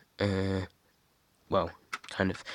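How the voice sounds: A man at a fairly slow pace, recorded with a dry, close sound and no echo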